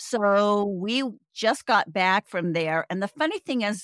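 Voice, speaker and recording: A woman talks in an ordinary speaking voice at medium pitch and a fairly slow pace, with lively intonation. The sound is dry and close with no echo, on a very clean recording with a silent background. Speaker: podcast host, travel hacker. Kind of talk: casual chat.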